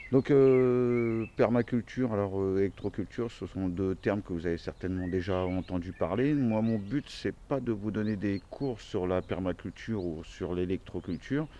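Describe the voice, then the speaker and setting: This man's voice sits at a very deep, low pitch. Its tone is dark and mellow. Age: 40s. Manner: hesitant, many fillers.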